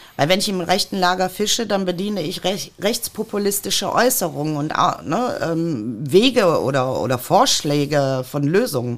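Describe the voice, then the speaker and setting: A woman's fairly low voice with very wide pitch swings and hardly any pauses. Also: fairly slow pace. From Ruhr area, Germany (Mülheim an der Ruhr). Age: 50s. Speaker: politician. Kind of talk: podcast interview.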